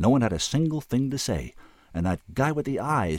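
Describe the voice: What you hear is plain reading aloud.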